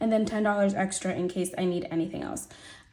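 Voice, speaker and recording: Fairly even intonation from a woman over noticeable background noise. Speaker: budgeting video creator. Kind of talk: casual budgeting tutorial. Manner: casual, chatty.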